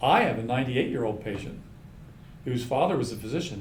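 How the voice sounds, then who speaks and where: Speech comes at a very fast pace, with audible room echo. Background noise is noticeable. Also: man. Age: 70s. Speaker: osteopathic physician. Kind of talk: casual chat.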